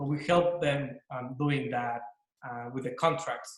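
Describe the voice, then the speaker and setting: A man with a Mexican accent talks at a fairly slow pace. Audible room echo surrounds his voice. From Mexico. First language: Spanish. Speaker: corporate lawyer. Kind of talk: panel discussion.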